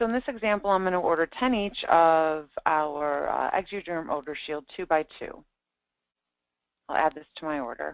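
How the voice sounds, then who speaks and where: A woman with a fairly low pitch speaks at a moderate pace in a normal speaking voice. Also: lively intonation. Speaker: product trainer. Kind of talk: software demo tutorial.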